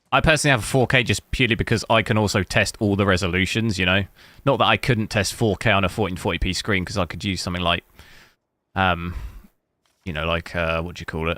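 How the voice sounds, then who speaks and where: Very fast speech with an English accent, dry and close with no echo, in a very clean recording with a silent background. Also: man, very deep, low pitch for a man, ordinary pitch variation. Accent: English accent, noted by viewers. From England. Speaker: gaming hardware streamer. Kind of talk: casual live-stream commentary. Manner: casual, many fillers.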